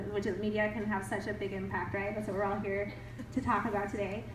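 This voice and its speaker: Over noticeable background noise and audible room echo, a woman speaks in an animated tone at a fairly high pitch. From grew up in several countries. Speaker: writer and PhD student, summit speaker. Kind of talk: audience Q&A at a talk.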